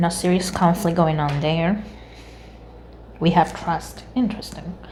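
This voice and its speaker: With a non-native accent, a woman speaks at a fairly low pitch amid audible room echo and noticeable background noise. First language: not English. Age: 30s. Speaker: tarot reader. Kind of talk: tarot reading monologue. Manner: casual, conversational.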